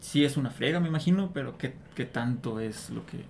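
A man speaks in a fairly high voice at a moderate pace. Audible room echo surrounds him. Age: 30s. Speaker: guest interviewer. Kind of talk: casual chat.

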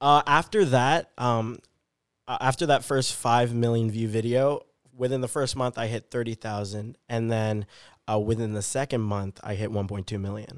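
In a normal speaking voice with an American accent, a man of medium pitch talks at a moderate pace with fairly even intonation, the sound dry and close with no echo and the recording very clean against a silent background. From US Pacific Northwest, Vancouver, Washington. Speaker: magician and social media creator. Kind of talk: casual interview chat.

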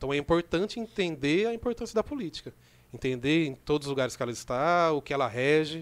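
A man speaks very fast with lively intonation and a fairly high pitch. The recording is very clean, with a silent background. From Brazil, Rio Claro (São Paulo state). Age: 30s. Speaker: community organizer and youth project leader. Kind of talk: casual podcast interview. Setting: studio.

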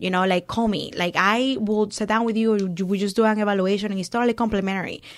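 With a Spanish accent, a woman speaks at a very fast pace in a medium pitch, monotone and flat, with hardly any pauses. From Venezuela. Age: 30s. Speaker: business owner. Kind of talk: casual interview. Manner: laughs often.

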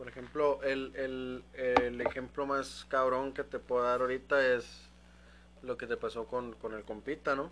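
Spoken at a fairly slow pace with a Mexican accent, the voice stays monotone and flat against noticeable background noise. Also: man, medium pitch for a man. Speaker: podcast host. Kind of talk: casual chat.

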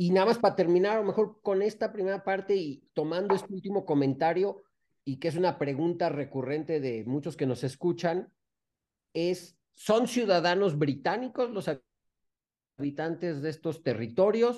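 Speaking in a Mexican accent, a man has a high pitch and a dark, mellow tone. His intonation is lively and his pace moderate. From Mexico. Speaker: podcast co-host, former diplomat. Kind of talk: casual interview.

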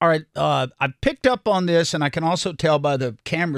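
On a very clean recording with a silent background and a dry, close sound with no echo, a man with a North Carolina accent talks at a fairly quick pace in a fairly high voice. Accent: Southern US (North Carolina). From North Carolina, Salisbury. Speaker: radio host. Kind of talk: interview.

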